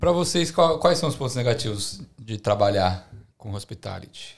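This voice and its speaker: The intonation is lively. The background is quiet. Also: man. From Brazil. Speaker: podcast host. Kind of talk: casual chat. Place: home room. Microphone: studio mic.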